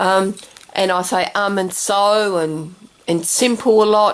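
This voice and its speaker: A woman speaks at a very slow pace with a fairly high pitch. Her pitch variation is ordinary. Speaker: craft video maker. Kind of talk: craft tutorial. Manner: halting, stumbling with fillers.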